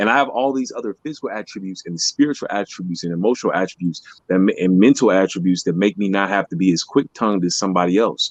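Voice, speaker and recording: With hardly any pauses, a man talks at a very fast pace in a fairly low voice with ordinary pitch variation. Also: dry, close sound with no echo. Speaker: motivational podcast co-host. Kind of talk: casual chat.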